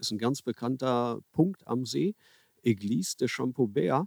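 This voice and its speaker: The recording is dry and close with no echo, capturing a man's dark, mellow tone. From Ruhr area, Germany (Herne). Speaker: carp angler and author. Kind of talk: casual interview. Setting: outdoors by a river.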